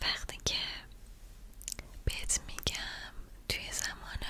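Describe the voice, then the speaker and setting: A woman whispers very slowly over noticeable background noise. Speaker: ASMR creator. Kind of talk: guided mindfulness / relaxation talk. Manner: whispered, soft-spoken, slow.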